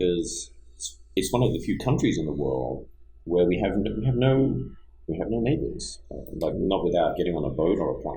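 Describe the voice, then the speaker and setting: In an Australian accent, a man speaks at a moderate pace with a very deep, low, dark and mellow voice, vocal fry and very wide pitch swings, amid audible room echo. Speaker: business entrepreneur and engineer. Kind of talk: casual podcast interview.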